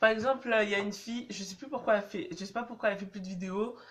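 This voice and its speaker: The woman's voice comes out somewhat breathy. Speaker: dance vlogger. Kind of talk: casual vlog advice. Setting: on public transport, in a tunnel. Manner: casual, hesitant with many fillers.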